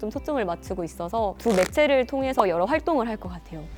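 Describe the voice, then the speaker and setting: Fairly quick speech from a woman, medium in pitch, its pitch varying in an ordinary way. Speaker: news anchor and YouTube creator. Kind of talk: interview.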